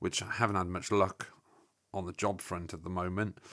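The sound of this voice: In a very clean recording with a silent background, a man speaks with a fairly bright tone.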